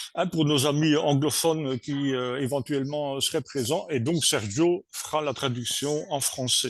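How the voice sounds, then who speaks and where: At a fairly slow pace, a man talks with a Belgian accent and a fairly high pitch. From Belgium. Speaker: co-director of training centre. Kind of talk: webinar introduction. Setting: video call webinar. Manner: hesitant, many fillers.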